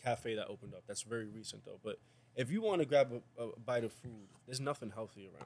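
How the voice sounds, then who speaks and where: Talking at a very fast clip with a New York accent, a man uses lively intonation. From New York, South Bronx. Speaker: podcast co-host. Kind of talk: casual chat.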